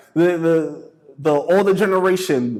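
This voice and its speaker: In a New York accent, a man speaks with an animated tone and a high pitch. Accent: New York City. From New York City (the Bronx). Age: 30s. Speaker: motivational speaker. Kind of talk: talk to students.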